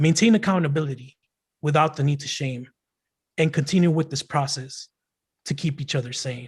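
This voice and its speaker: Somewhat breathy and fairly high-pitched, a man with an American accent talks at a moderate pace with ordinary pitch variation and long, frequent pauses. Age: young. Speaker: poet and rapper. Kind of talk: poetry performance. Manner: halting.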